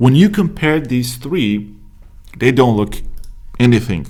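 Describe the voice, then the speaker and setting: With a Romanian accent, a man speaks at a moderate pace. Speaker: business coach. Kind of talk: tutorial. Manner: casual, many fillers.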